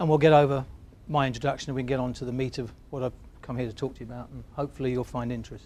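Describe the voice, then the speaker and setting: Talking very fast in an English accent, a man keeps a monotone, flat intonation while his loudness swings widely. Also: medium pitch for a man. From England. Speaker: business consultant. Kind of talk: workshop presentation. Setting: stage with audience. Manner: halting.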